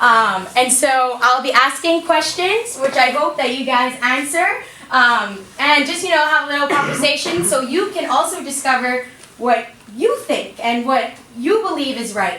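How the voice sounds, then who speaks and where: A woman's raised, projected voice carries a high pitch and lively intonation at a moderate pace. The recording has audible room echo and noticeable background noise. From Bahamas. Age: young. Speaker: motivational speaker. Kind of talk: motivational talk to students. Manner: animated.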